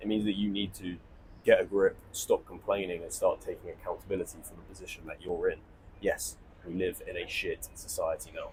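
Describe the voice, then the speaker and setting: Spoken with a southern English accent at a fairly quick pace, the voice swings widely in loudness. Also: man. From southern England. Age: 20s. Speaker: online entrepreneur. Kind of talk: monologue to camera. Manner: informal, rambling.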